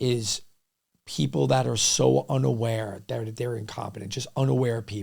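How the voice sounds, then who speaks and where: With a New York accent, a man speaks at a fairly slow pace in a fairly low pitch. His pitch swings very widely, and his pauses are long and frequent. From New York City, Lower East Side and Queens. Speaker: restaurant entrepreneur. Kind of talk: podcast interview. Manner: loud when passionate; animated.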